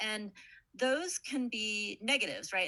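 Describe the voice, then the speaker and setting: A woman's bright, sharp voice with vocal fry and an American accent, at a moderate pace, against a quiet background. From United States. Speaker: political scientist. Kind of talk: panel talk.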